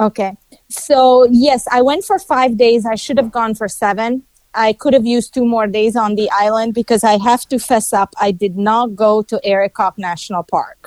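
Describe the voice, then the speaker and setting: Speaking at a moderate pace with a non-native accent, a woman has a fairly high pitch and ordinary pitch variation, recorded with a dry, close sound and no echo. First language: not English. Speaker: travel reviewer guest. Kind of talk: casual interview.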